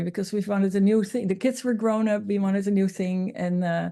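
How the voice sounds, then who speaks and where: A woman's dark, mellow tone against a quiet background. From Netherlands. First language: Dutch. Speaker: interviewee sharing cancer healing journey. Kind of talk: interview testimony.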